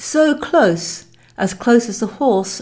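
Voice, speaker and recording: In a very clean recording with a silent background, a woman speaks in a dark, mellow, somewhat breathy tone with ordinary pitch variation. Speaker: podcast host and author. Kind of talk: audiobook-style narration of own book, dramatic storytelling. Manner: dramatic, evocative, measured storytelling pace.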